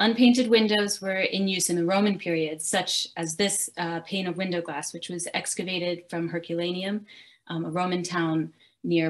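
Against a quiet background, a woman with an unremarkable speaking voice talks at a moderate pace, fairly low in pitch, with fairly even intonation. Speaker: research scientist guest lecturer. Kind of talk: lecture. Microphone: video call.

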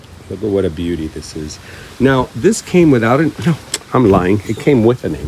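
Against noticeable background noise, a man talks at a moderate pace with very wide pitch swings and big swings in loudness. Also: fairly low pitch for a man. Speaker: orchid-growing YouTuber. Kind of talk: casual greenhouse tour vlog. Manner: animated, frequent laughter.

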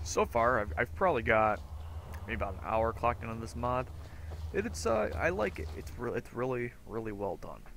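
A man speaks quietly at a moderate pace and fairly low pitch. His intonation is lively. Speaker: gameplay commentator. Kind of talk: casual let's play commentary. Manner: sparse, quiet speech.

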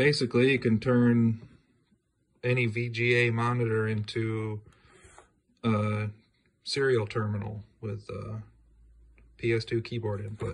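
Somewhat breathy and monotone, a man speaks at a very slow pace with long, frequent pauses. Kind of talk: casual vlog chat. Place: home room. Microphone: phone near.

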